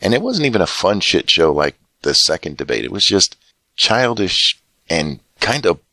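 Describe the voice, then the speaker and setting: The recording is very clean with a silent background as a man speaks at a moderate pace in a bright, sharp tone. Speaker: political commentator. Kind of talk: political commentary to camera.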